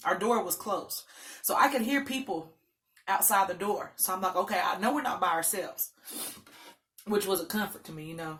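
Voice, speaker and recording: Fairly quick, animated speech from a woman at a medium pitch, lively in intonation, with long, frequent pauses and big swings in loudness. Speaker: mukbang vlogger. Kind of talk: storytime while eating.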